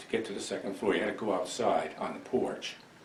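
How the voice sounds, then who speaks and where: Noticeable background noise accompanies a man talking in an American accent. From Milan, New York. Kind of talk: oral history interview answer. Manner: hesitant, reflective.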